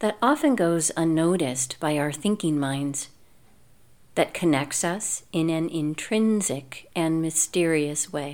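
Speaking at a fairly slow pace, a woman with a fairly low pitch and ordinary pitch variation has a normal speaking voice, captured on a very clean recording with a silent background. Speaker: yoga teacher and writer. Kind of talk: guided meditation. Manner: slow, soft-spoken, gentle and soothing with long pauses; warm, unhurried, calm, reverent.

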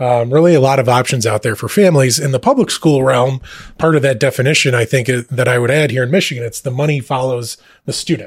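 A somewhat breathy voice at a very fast pace, with ordinary pitch variation. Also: man, medium pitch for a man. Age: 30s. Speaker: school administrator. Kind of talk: podcast interview.

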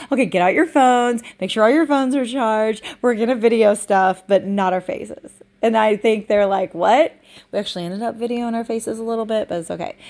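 Talking at a fairly quick pace, a woman has a fairly high pitch and an unremarkable speaking voice. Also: ordinary pitch variation, very clean recording, silent background. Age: 40s. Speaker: business coach and podcast host. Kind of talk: casual solo monologue.

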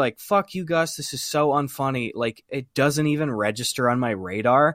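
In an American accent, a man speaks at a moderate pace, the sound dry and close with no echo. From US Midwest, small-town Wisconsin. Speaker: YouTube comedian. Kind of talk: casual chat.

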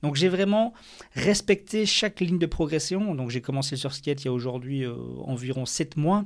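A man with an ordinary speaking voice, fairly high pitch, lively intonation and a moderate pace. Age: 30s. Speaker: podcaster and amateur surfer. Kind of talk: solo podcast monologue.

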